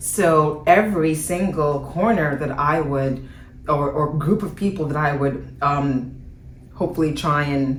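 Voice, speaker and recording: Woman with a very deep, low voice at a fairly slow pace, with audible room echo and noticeable background noise. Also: ordinary pitch variation. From international upbringing, Nigerian-born embassy child. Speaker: guest sharing faith journey. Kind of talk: interview testimony.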